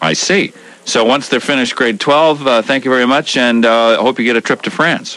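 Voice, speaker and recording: The speech moves at a fairly quick pace with very even loudness and ordinary pitch variation. Noticeable background noise runs underneath. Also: man, medium pitch for a man. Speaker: radio morning show host. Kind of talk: call-in talk radio. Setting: radio studio.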